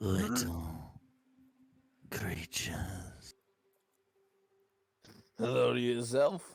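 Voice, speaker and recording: Using a raspy put-on character voice at a very deep, low pitch, a man speaks at a very slow pace with long, frequent pauses. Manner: menacing, playful.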